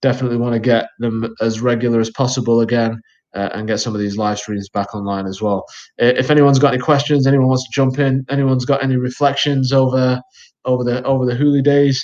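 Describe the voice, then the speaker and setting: Over a quiet background, a man at medium pitch talks at a very fast pace with fairly even intonation. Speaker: community host. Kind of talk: casual chat. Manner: calm.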